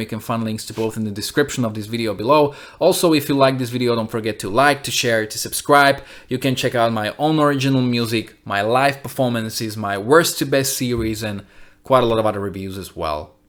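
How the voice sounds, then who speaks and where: A man speaks in a plain, everyday voice at medium pitch. His pace is fairly quick, with ordinary pitch variation. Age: 30s. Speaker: music reviewer and musician. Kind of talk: album review monologue; channel outro.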